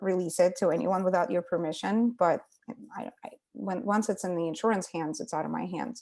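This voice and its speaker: Speaking fairly quickly in a Russian accent, a woman with a medium pitch, a dark, mellow tone, and vocal fry shows ordinary pitch variation. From Ukraine, Russian-speaking part. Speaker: psychotherapist. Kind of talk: casual interview.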